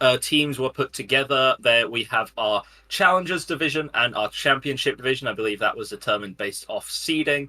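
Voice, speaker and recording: With an East Midlands accent, a man talks fairly quickly with hardly any pauses, his medium-pitched voice bright and sharp in tone with ordinary pitch variation. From England, Nottingham. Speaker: esports caster. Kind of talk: live commentary. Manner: casual, joking.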